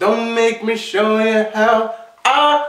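An extremely high-pitched male voice with audible room echo against a quiet background. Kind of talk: comedic character monologue. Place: home room.

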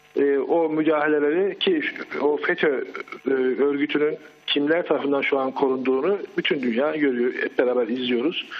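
Amid noticeable background noise, a man with a fairly high pitch speaks at a moderate pace, his intonation fairly even and his loudness very even. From Turkey, Çorum province. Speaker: eyewitness caller. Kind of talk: live phone-in testimony. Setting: phone call.

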